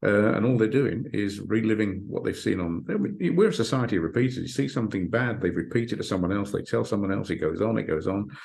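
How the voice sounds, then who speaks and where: A man at a very fast pace and fairly low pitch, with ordinary pitch variation and audible room echo. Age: 60s. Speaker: hypnotherapist and author. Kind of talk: interview. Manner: halting, repeats words.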